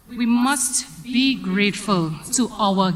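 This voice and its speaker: Lively intonation marks a woman's fairly high voice as she speaks at a very slow pace over noticeable background noise. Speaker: drama association secretary. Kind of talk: vote of thanks speech.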